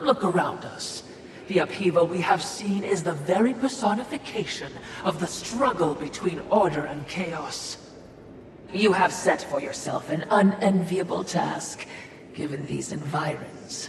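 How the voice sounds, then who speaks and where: A put-on character voice sits at a middle pitch and moves at a moderate pace. Clear background noise and a clear echo are present. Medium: short film. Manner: fawning, wordy.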